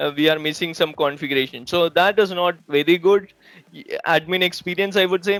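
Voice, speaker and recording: With a Keralan accent, a man speaks at a high pitch. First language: Malayalam. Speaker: IT trainer. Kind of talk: tutorial. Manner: halting, with frequent repetitions.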